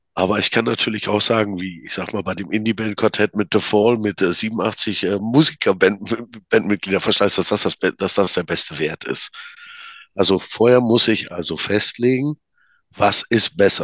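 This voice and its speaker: Dry and close with no echo, a man's fairly low voice goes at a moderate pace with ordinary pitch variation. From Münsterland, North Rhine-Westphalia. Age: 40s. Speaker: card game maker. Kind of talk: casual interview. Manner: halting.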